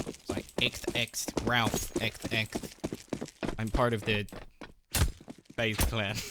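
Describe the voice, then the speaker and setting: Doing a raspy put-on character voice, a man speaks very slowly at a medium pitch, with long, frequent pauses. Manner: nerdy, affected.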